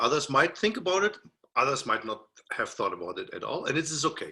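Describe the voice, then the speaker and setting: A man talks at a moderate pace in a German accent. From Germany (Berlin). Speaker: music professor. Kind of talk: lecture. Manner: halting.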